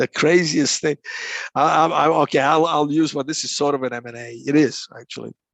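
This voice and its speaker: Speaking at a fairly quick pace, a man with a fairly high pitch keeps his intonation fairly even. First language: Croatian. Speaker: negotiation consultant. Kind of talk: interview. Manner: halting, many repeated words.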